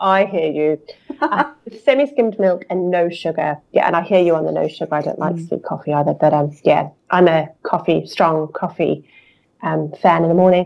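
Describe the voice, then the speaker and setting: A woman speaks at a fairly low pitch with vocal fry. Her pace is moderate. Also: ordinary pitch variation. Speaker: yarn designer. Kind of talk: casual chat.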